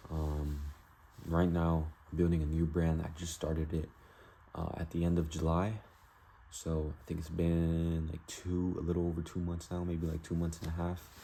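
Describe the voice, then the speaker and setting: A man mumbles at a moderate pace in a very deep, low voice with a dark, mellow tone and monotone, flat intonation. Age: young. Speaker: vlogger, online store owner. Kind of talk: casual vlog talking to camera. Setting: self-recorded video to camera. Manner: mumbling; rambling casual with fillers.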